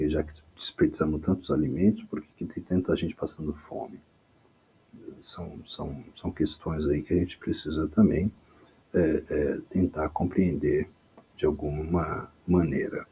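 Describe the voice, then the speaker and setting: Soft-spoken, this man talks at a fairly slow pace. His loudness shows big swings. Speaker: history teacher. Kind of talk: lecture. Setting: home recording at night. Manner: halting.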